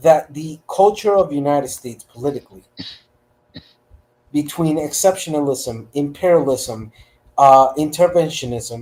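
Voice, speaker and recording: Talking fairly slowly, a man with a fairly high voice shows ordinary pitch variation. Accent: Spanish. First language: Spanish. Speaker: panelist. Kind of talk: panel debate.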